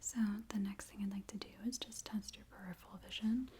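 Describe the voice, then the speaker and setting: Soft-spoken and whispering, a woman talks at a moderate pace. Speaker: ASMR creator playing an urgent care doctor. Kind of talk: ASMR medical role-play, soft spoken exam. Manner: soft-spoken, calming, whispery.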